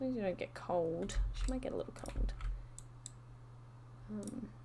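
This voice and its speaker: The speaker has a slight Australian accent. Noticeable background noise can be heard. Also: woman, moderate pace. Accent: subtle Australian. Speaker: video game streamer. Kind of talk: gameplay commentary. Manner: casual, chatty with many fillers.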